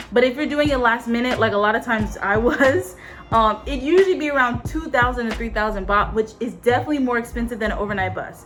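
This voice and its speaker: With music in the background, a woman in an American accent talks at a very fast pace. Her pitch is fairly high, with ordinary variation. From US West Coast, Los Angeles. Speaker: travel vlogger, former foreign teacher. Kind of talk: casual vlog talk to camera.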